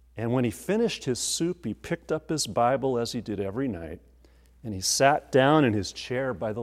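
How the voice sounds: This natural reading voice has lively intonation.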